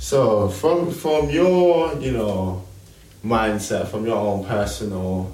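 In a room with audible echo, a man's dark, mellow voice carries vocal fry and very wide pitch swings. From UK. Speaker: radio host. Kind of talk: casual radio show. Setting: radio studio. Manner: laughing often.

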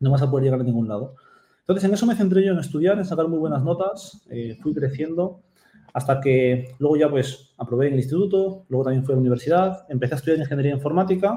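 Talking at a very fast pace, a man has a fairly high pitch. His dark, mellow tone is somewhat breathy. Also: ordinary pitch variation. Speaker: Amazon seller and mentor. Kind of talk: interview. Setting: video call.

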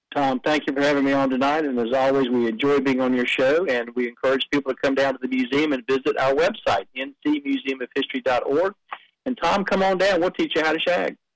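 This man talks at a fairly quick pace with a North Carolina accent, his pitch fairly high and its variation ordinary. His loudness stays very even, and the sound is dry and close with no echo. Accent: Southern US (North Carolina). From North Carolina, Dunn and Wilmington. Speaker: museum director. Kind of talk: radio interview.

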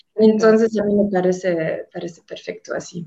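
At a moderate pace, a woman speaks. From Germany. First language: German (speaking Spanish). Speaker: tour guide. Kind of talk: casual chat.

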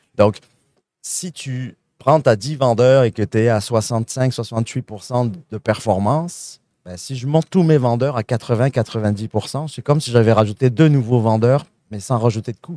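A man with a dark, mellow tone speaks at a very slow pace with big swings in loudness, the sound dry and close with no echo on a very clean recording with a silent background. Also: medium pitch for a man, ordinary pitch variation. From France. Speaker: sales consulting firm founder. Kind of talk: live interview at a trade show. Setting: trade show at a convention centre.

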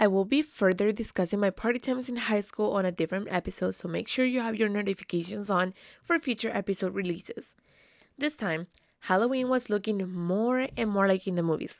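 A woman's animated voice with a Spanish accent, medium in pitch, with ordinary pitch variation and a fairly quick pace, in a dry, close sound with no echo and a very clean recording with a silent background. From South America, raised in Canada from age ten. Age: 20s. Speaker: podcast host. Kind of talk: solo casual monologue.

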